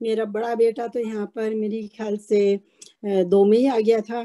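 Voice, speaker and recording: Her tone is dark and mellow, and her pitch fairly high. The woman speaks in a flat monotone. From India, Rajasthan. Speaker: retired Hindi professor. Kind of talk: interview, personal stories. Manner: hesitant, with fillers.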